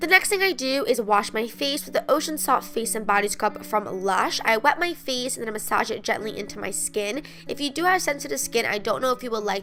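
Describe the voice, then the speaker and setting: With an upbeat tone and lively intonation, a woman speaks at a fairly quick pace in a fairly high pitch, her voice showing vocal fry. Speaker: beauty vlogger. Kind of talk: casual talk to camera.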